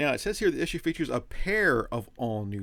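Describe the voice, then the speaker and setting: A man talks fairly quickly in a very clean recording where the background is silent. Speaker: comic book YouTuber. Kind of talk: casual product review. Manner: fast; animated.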